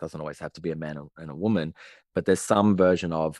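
This man has a very deep, low pitch and an Australian accent, with ordinary pitch variation. The recording is very clean, with a silent background. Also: dry, close sound with no echo. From Australia, Sydney. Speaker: relationship and attachment coach. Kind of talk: casual interview conversation.

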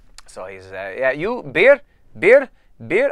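A man is speaking. He has an Irish accent. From Ireland. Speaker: podcast co-host. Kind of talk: casual chat. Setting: office studio, video recorded.

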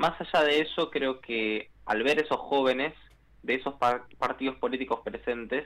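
A man with a plain, everyday voice, ordinary pitch variation and a moderate pace. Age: 20s. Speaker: youth climate activist. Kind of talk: radio interview.

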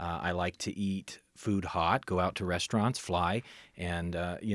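A man speaks with a very deep, low pitch. The sound is dry and close, with no echo. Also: very clean recording, silent background. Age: 30s. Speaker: emergency medical services director. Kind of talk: interview. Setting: studio.

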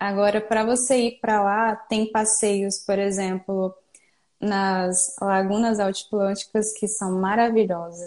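A woman talks at a very slow pace with a medium pitch. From Brazil, Espírito Santo. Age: 20s. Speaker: hiker and business owner. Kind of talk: casual interview. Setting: live online video call.

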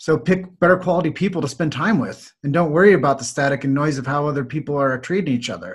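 A man with an American accent talks at a very fast pace, sounding somewhat breathy, with ordinary pitch variation. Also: fairly high pitch for a man, hardly any pauses. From US Midwest, Davenport, Iowa. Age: 40s. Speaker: chiropractic marketer and podcaster. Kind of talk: podcast interview.

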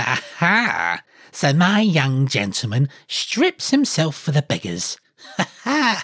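At a fairly slow pace, the speaker delivers a put-on character voice. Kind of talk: storybook reading. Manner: scornful, mocking, wrathful.

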